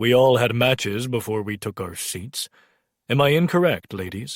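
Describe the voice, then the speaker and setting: Someone does a put-on character voice at a moderate pace. The recording is very clean, with a silent background. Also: man, medium pitch for a man. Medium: read story. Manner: scornful, combative.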